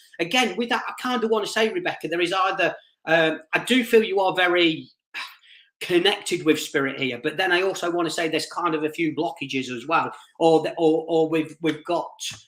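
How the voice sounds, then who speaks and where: At a fairly quick pace, a man speaks in a high pitch with ordinary pitch variation. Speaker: psychic medium. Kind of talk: live-stream psychic reading. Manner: fast.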